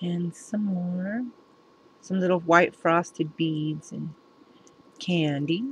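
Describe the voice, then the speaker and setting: The speech comes at a very slow pace in a somewhat breathy voice. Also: woman, fairly low pitch for a woman. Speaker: craft video maker. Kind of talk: crafting show-and-tell tutorial. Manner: casual, halting with fillers.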